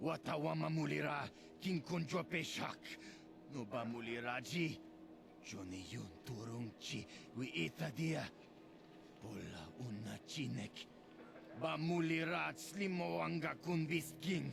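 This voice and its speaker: A man's put-on character voice at a medium pitch and fairly slow pace, with long, frequent pauses and clear background noise. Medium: video game.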